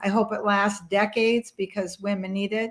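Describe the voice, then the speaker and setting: A woman talks at a fairly quick pace in a fairly high voice. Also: very clean recording, silent background. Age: 60s. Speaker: mental health advocate and author. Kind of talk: interview conversation.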